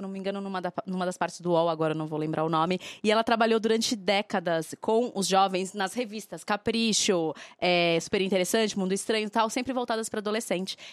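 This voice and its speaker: On a very clean recording with a silent background, a woman at a medium pitch speaks very fast with ordinary pitch variation. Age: 30s. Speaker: podcast co-host. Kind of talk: casual chat.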